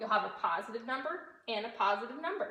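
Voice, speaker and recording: Audible room echo follows a woman's fairly high-pitched voice. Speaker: fifth-grade teacher. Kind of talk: recorded math lesson for pupils.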